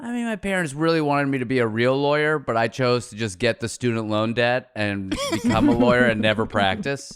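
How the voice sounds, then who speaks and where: A man with an American accent and a plain, everyday voice, medium in pitch with ordinary pitch variation, talking at a fairly quick pace with hardly any pauses. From Pittsburgh, US. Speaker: comedian and podcaster. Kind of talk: casual chat.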